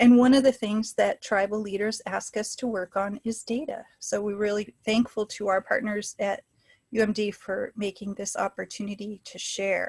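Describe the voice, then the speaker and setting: A woman with an American accent speaks in a flat monotone, her voice somewhat breathy. The sound is dry and close, without echo. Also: fairly high pitch for a woman, moderate pace, quiet background. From US Pacific Northwest, Washington State. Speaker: public health scientist, webinar speaker. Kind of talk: lecture. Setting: webinar, video call.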